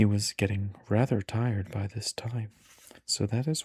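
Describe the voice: This is plain reading aloud with fairly even intonation.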